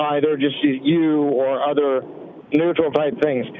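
The speech moves at a fairly slow pace with fairly even intonation. Noticeable background noise runs underneath. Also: man. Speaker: caller. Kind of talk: casual chat. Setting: phone call.

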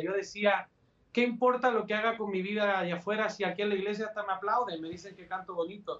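This is a man speaking. His pitch is high for a man. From Chile, Valparaíso. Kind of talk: interview testimony. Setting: friend's home recording studio, remote video.

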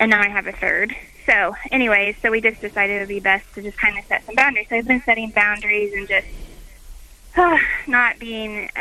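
A woman with a fairly high voice talks at a fairly quick pace, her intonation fairly even but her loudness swinging widely, over noticeable background noise. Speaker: caller. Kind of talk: call-in advice.

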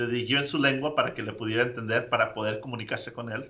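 This man speaks at a medium pitch. His intonation is fairly even. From Mexico, Zacatecas. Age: 30s. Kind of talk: interview. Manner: halting.

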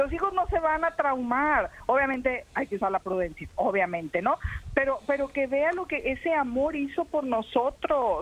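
The speaker's tone is animated, with very wide pitch swings at a moderate pace. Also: woman, high pitch for a woman. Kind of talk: casual chat.

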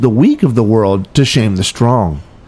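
A man speaks at a fairly slow pace with lively intonation. He has an unremarkable speaking voice. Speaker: deacon and radio host. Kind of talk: scripture reading. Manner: formal, reverent.

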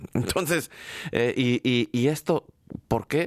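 Here a man with a Mexican accent talks fairly slowly at a medium pitch. His intonation is lively, and the sound is dry and close with no echo. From Mexico. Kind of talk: live radio interview. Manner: halting, many fillers and repetitions.

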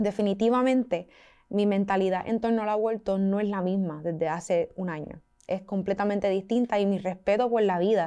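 A woman's ordinary speaking voice at medium pitch and a moderate pace, with a quiet background. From Puerto Rico. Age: 20s. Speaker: student activist. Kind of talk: interview.

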